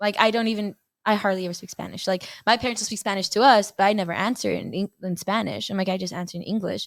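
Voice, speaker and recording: Talking at a very fast pace, a woman with a Mexican accent keeps her medium pitch in fairly even intonation. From Texas, El Paso. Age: 20s. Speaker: college softball player. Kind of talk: casual chat interview.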